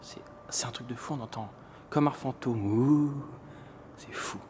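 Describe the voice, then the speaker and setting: Whispering at a fairly slow pace over noticeable background noise. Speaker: urban explorer vlogger. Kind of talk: exploration vlog narration. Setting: outdoors and inside abandoned building at night. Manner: soft-spoken, speaking quietly; animated.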